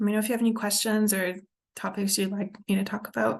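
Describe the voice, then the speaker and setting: At a moderate pace, the speaker's voice comes out somewhat breathy. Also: woman. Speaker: addiction recovery counselor and indie musician. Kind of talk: casual vlog talk. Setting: recorded on Zoom. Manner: halting, many ums.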